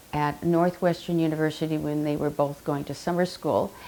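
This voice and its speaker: A woman with an American accent speaks in a fairly low pitch, her dark, mellow tone delivered with monotone, flat intonation. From Southern California (Chula Vista). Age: 70s. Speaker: oral history interviewee. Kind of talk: oral history interview. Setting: library. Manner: hesitant, many fillers.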